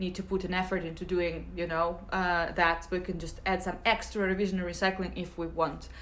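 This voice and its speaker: In a room with audible echo, a woman with a Russian accent and a medium pitch speaks at a fairly quick pace. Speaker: English teacher. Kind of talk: live Q&A stream. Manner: hesitant, many fillers.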